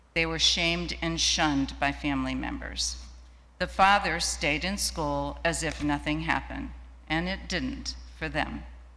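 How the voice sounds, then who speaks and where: With an American accent, a woman speaks at a moderate pace in a room with audible echo. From Ohio, US Midwest. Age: 70s. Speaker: women's rights activist. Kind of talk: personal testimony in a worship service. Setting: church sanctuary, streamed live.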